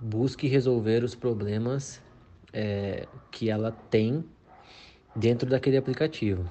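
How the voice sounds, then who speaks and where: A man speaks at a fairly slow pace in a medium-pitched voice with fairly even intonation. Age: 20s. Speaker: senior software developer. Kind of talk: expert explanation.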